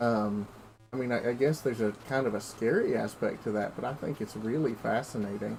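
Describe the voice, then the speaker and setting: A man talks at a fairly quick pace with a medium pitch. He speaks in an American accent. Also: fairly even intonation. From US South, Appalachia, Tennessee. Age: 20s. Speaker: video game streamer. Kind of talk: casual chat. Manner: halting, many fillers and repeats.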